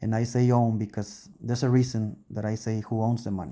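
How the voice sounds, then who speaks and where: In a very clean recording with a silent background, a man with a non-native accent speaks at medium pitch in a dark, mellow tone with monotone, flat intonation. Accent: foreign accent, English second language. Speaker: YouTuber. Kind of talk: casual monologue. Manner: hesitant, self-correcting.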